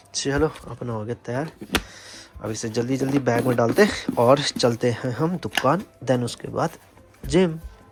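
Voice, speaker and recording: A man's speech shows ordinary pitch variation, and noticeable background noise can be heard throughout. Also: medium pitch for a man. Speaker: vlogger. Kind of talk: casual vlog talk. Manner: casual.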